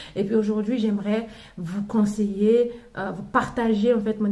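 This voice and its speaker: A woman with a non-native accent speaks in a somewhat breathy, fairly high voice. Her intonation is fairly even, with audible room echo. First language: not French (speaking French). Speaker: mother sharing parenting advice. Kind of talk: casual vlog talk. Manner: halting, many fillers and restarts.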